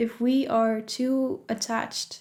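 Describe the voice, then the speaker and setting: The speaker has a Dutch accent and fairly even intonation. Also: woman. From Netherlands. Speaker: spirituality vlogger. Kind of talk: casual advice vlog. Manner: conversational, with fillers.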